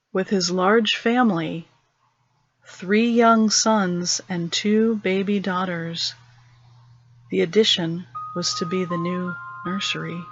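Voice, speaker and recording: Over music in the background, a woman speaks at a very slow pace and medium pitch, with fairly even intonation and long, frequent pauses. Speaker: storyteller. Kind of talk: horror story narration.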